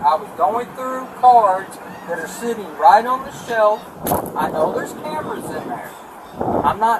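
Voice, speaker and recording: A fairly slow pace over loud background noise. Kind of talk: pleading explanation to police. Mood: defensive, insisting innocence. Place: car. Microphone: camera far.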